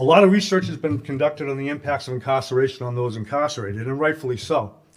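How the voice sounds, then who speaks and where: The man's delivery is very fast. He speaks at a medium pitch that varies in an ordinary way. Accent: Massachusetts. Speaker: corrections advocate, former correctional officer. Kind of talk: conference speech.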